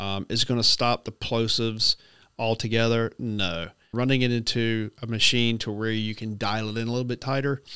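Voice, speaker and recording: There is a bright, sharp tone to this man's voice, set against a quiet background with a dry sound and no echo. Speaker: gear reviewer. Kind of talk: product review talk. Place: home room. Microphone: studio mic.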